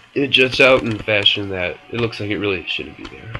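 Fairly quick speech from a man at a fairly low pitch, with ordinary pitch variation and music in the background. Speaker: video game tutorial maker. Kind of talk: casual screen-recorded game tutorial. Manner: casual, informal.

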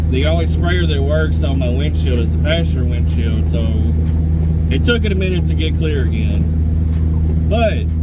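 With long, frequent pauses, a man talks over loud background noise in a dry sound with no echo. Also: moderate pace. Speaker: vlogger driving. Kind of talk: casual vlog chat. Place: car. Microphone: phone near.

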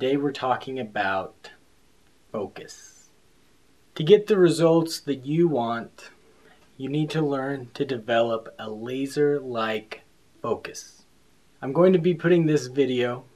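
Pausing long and often, a man talks at a fairly slow pace with ordinary pitch variation. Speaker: fitness vlogger. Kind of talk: tutorial.

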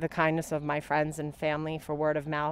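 In a dry recording with no echo, a woman speaks with a very deep, low pitch. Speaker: candidate. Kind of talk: interview answer. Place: garden. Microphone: handheld.

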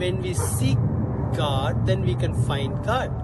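A man speaking at a very slow pace, with music in the background. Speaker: preacher. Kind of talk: short devotional sermon. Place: street.

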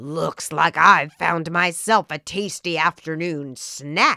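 A growling, menacing put-on character voice at a middle pitch speaks at a very slow pace on a very clean recording with a silent background.

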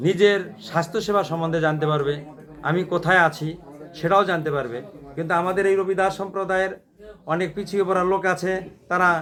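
This man's voice sits high. His intonation is fairly level. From Bangladesh, Gaibandha (northern Bangladesh). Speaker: community speaker. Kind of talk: speech. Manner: halting.

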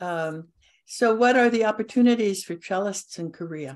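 A plain, everyday voice at a moderate pace, with ordinary pitch variation against a quiet background. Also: woman. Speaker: cello society meeting host. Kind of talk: interview. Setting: video call.

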